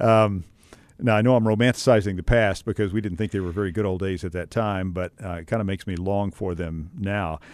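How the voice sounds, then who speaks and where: With an American accent and an ordinary speaking voice, a man talks at a fairly quick pace in a fairly low pitch with fairly even intonation over a quiet background. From West Texas. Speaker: podcast host, seminary academic. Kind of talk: interview.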